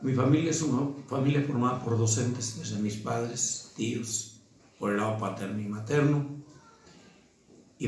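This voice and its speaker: A man's medium-pitched voice with ordinary pitch variation, at a fairly slow pace, amid noticeable background noise and audible room echo. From Mexico, Guanajuato. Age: 60s. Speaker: teacher. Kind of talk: interview testimony. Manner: formal.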